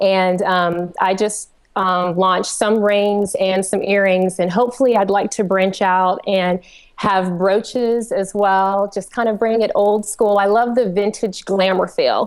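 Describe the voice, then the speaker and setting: A woman's fairly slow, monotone, flat delivery in a strong Southern US accent, at very even loudness. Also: medium pitch for a woman. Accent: Southern twang, fairly strong. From US South, Georgia. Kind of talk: casual chat. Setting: live webcast.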